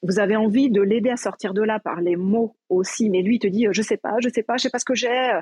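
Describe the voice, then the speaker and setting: A normal speaking voice at a moderate pace with ordinary pitch variation. The sound is dry and close, with no echo. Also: woman. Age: 40s. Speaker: educational psychologist. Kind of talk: casual chat. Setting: live audio room.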